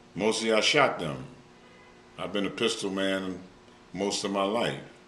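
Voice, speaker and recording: A man with a fairly low pitch and a bright, sharp tone speaks at a fairly slow pace. Audible room echo accompanies his ordinary pitch variation. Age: 70s. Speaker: former hitman. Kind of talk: interview answers.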